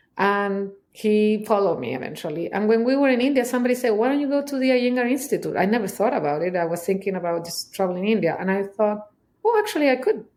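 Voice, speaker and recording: A woman speaks very fast in a Chilean accent. Her pitch is medium and her intonation lively. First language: Spanish. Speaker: somatic trauma specialist. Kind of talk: interview answer. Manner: candid.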